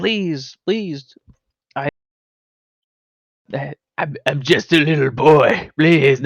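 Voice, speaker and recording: In a put-on character voice, a man speaks very slowly at a fairly high pitch with long, frequent pauses. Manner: pleading, begging.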